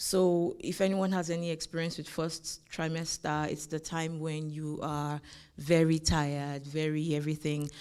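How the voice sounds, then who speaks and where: A woman speaks in a very deep, low pitch with a dark, mellow tone. Her delivery is moderately paced, with monotone, flat intonation. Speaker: lawyer and conference speaker. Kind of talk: conference talk sharing lived experience. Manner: hesitant, many fillers.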